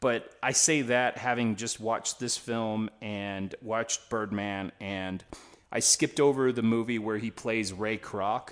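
A man against a quiet background. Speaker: podcast co-host. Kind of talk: casual banter, movie review discussion. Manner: animated, joking, profane.

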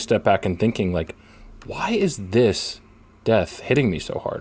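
With an American accent, a man speaks at a moderate pace in an ordinary speaking voice, fairly low in pitch. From Philadelphia area, US. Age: 20s. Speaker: sports writer and podcast co-host. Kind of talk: casual sports chat.

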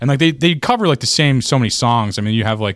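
A man talking at a very fast pace. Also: very clean recording, silent background. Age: 30s. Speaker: comedian and podcast host. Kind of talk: casual chat.

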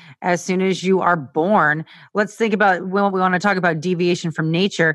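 A woman with a fairly low pitch speaks in an unremarkable speaking voice, showing ordinary pitch variation against a quiet background. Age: 30s. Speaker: nutritionist and personal trainer. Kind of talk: casual interview chat.

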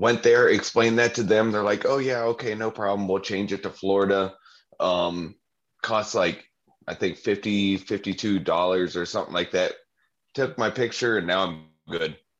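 A man with an American accent and an unremarkable speaking voice, fairly low in pitch, at a moderate pace with fairly even intonation. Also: quiet background. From Ohio. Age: 30s. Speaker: podcast co-host. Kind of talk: casual chat.

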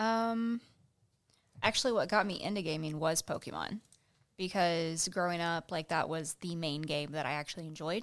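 This woman has an ordinary speaking voice, fairly low in pitch with ordinary pitch variation, captured in a very clean recording against a silent background. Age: 20s. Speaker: gamer guest. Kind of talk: casual chat.

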